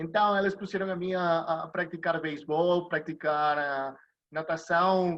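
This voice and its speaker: In a quiet background, a man with a Spanish accent speaks in a high pitch with fairly even intonation. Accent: Spanish-accented Portuguese (portunhol). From Venezuela. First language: Spanish (speaking Portuguese). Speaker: sports lawyer. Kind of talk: interview. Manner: halting.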